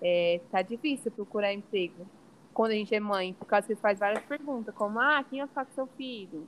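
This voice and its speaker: Big swings in loudness mark this woman's unremarkable speaking voice. She talks at a moderate pace, with a fairly high pitch and ordinary pitch variation. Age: 20s. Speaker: environmental engineer and mother. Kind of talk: podcast interview.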